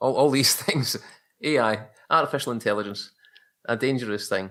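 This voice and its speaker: With a Glaswegian accent, a man talks at a moderate pace in a bright, sharp tone with ordinary pitch variation. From Scotland, Glasgow. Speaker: photographer. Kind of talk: casual chat.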